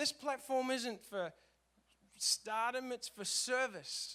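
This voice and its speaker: Raised and projected, a man's voice moves at a fairly slow pace with an Australian accent, an animated, bright, sharp tone and ordinary pitch variation. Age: 30s. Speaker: worship leader. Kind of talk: conference talk.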